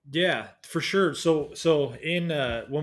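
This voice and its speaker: A man speaks with a Pacific Northwest accent. The recording is very clean, with a silent background. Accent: American (Pacific Northwest). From US Pacific Northwest (Washington State, near Seattle). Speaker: traveler and YouTuber, former design engineer. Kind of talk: casual interview. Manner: hesitant, many fillers.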